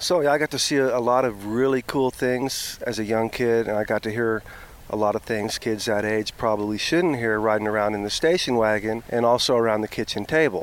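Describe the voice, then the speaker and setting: A man with a normal speaking voice talks fairly quickly at a medium pitch. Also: ordinary pitch variation. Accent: American. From Oklahoma. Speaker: herpetologist. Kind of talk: casual interview. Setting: outdoors, on a raft on a river.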